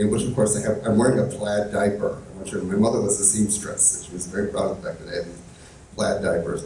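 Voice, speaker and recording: A man with a Chicago accent at a very fast pace, big swings in loudness, audible room echo and noticeable background noise. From Chicago suburbs, US. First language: Italian. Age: 50s. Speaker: community leader, LGBT history activist. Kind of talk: on-stage interview. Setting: stage with live audience. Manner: hesitant, many fillers.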